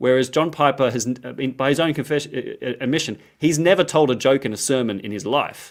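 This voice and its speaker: A man with an Australian accent speaks at a fairly quick pace in a medium pitch, with ordinary pitch variation, on a very clean recording with a silent background. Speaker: Bible scholar, lecturer. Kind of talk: interview. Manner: casual, animated.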